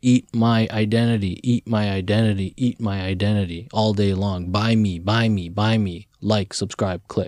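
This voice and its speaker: A man's normal speaking voice, fairly low in pitch, at a moderate pace with fairly even intonation, very even loudness and hardly any pauses, on a very clean recording with a silent background. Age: 40s. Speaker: podcast host. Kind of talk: casual interview. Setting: studio.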